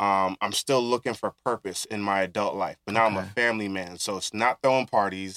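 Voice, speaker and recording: Talking at a fairly quick pace with a Brooklyn accent, a man has a fairly low, bright and sharp voice, fairly even intonation, and a dry, close sound with no echo. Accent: New York (Brooklyn). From Brooklyn, New York. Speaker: author and community organizer. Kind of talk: casual interview.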